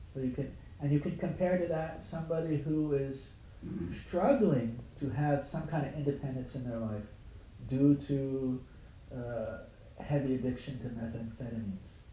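Noticeable background noise and audible room echo surround a man with a fairly high pitch. He talks at a moderate pace with ordinary pitch variation. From Hawaii, Honolulu. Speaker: spiritual teacher. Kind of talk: dharma talk to small group.

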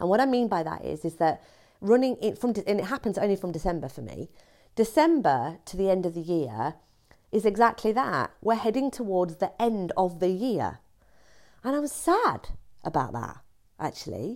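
On a very clean recording with a silent background, a woman speaks at a medium pitch with vocal fry and very wide pitch swings. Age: 40s. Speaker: podcast host. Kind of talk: solo monologue. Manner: fast.

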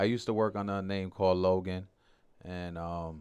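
With a New York accent, a man speaks at a very deep, low pitch in a flat monotone over a quiet background. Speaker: singer. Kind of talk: casual interview.

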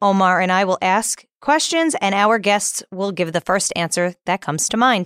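Here is a woman with an unremarkable speaking voice, medium in pitch, with ordinary pitch variation and a moderate pace. The sound is dry and close, with no echo. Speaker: podcast host. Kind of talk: podcast hosting, interview.

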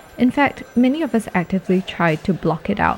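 A woman's somewhat breathy voice. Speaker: podcast host. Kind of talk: scripted narration with interview clips.

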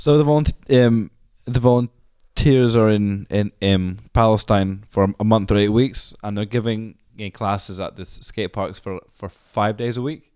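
At a fairly slow pace, a man speaks with a dark, mellow tone and fairly low pitch, ordinary pitch variation, and a dry, close sound with no echo. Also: big swings in loudness. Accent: Scottish. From Scotland. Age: 30s. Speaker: skate charity founder. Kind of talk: interview.

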